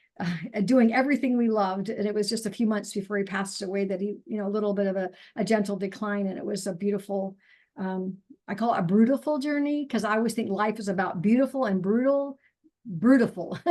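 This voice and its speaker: In an ordinary speaking voice, a woman talks at a fairly quick pace with medium pitch and ordinary pitch variation against a quiet background. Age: 60s. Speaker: naturopathic doctor and nutrition counselor. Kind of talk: interview testimony. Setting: video call.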